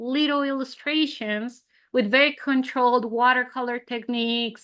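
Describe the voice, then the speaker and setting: A woman's high-pitched voice with a bright, sharp tone, fairly even intonation and a moderate pace over a quiet background. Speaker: surface pattern designer and illustrator. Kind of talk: interview conversation.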